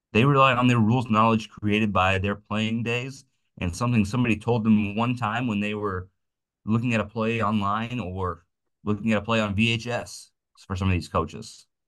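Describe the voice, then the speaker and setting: Against a quiet background, the speaker keeps a moderate pace with fairly even intonation. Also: man, fairly low pitch for a man. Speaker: umpire and umpiring clinic instructor. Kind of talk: instructional clinic talk. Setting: video call. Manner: loud; casual with many false starts.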